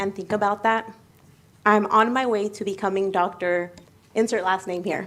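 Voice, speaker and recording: A woman with an American accent talks at a moderate pace and medium pitch in a plain, everyday voice. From United States. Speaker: medical student. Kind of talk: speech. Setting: ceremony.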